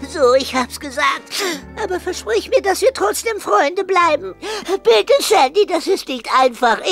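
Music plays clearly in the background. The speech moves at a moderate pace. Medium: audio drama. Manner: whiny, pleading, nervous.

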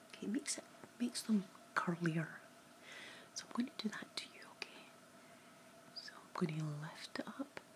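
A woman is whispering. She keeps a moderate pace. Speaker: beauty vlogger. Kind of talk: makeup tutorial chat. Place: home room. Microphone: phone near.

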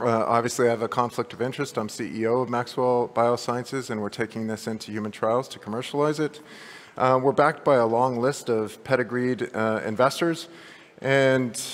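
Moving at a moderate pace, a man speaks with fairly even intonation. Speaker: presenter. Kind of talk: conference talk. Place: hall.

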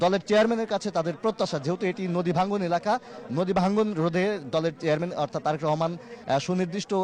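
Fairly even intonation and very even loudness against noticeable background noise. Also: man, high pitch for a man. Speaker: field reporter. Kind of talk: live news report.

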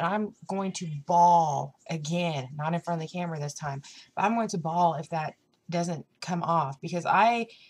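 A woman speaks in a fairly low pitch with ordinary pitch variation. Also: moderate pace. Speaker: vlogger. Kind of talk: casual vlog chat. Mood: upset, slightly emotional. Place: home room. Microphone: webcam.

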